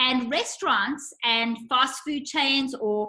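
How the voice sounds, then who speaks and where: Raised and projected, a woman's high, bright, sharp voice carries ordinary pitch variation. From South Africa. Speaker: nutritionist. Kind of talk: casual chat.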